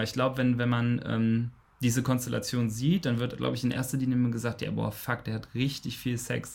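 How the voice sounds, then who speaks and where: A man with an ordinary speaking voice talks at a fairly quick pace and medium pitch. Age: 20s. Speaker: bisexuality and polyamory activist. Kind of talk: casual interview.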